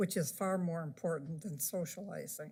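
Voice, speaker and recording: A woman talks at a moderate pace in a Midwestern US accent, her tone dark and mellow. Her voice is somewhat breathy, with fairly even intonation. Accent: US Midwest. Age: 80s+. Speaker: resident speaking at public comment. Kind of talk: public comment at council meeting. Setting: city council chamber. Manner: halting.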